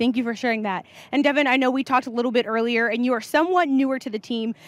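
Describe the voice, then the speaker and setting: A woman talks at a very fast pace in a high voice with fairly even intonation. The sound is dry, with no echo. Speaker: livestream presenter. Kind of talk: event interviews. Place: hall. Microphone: handheld.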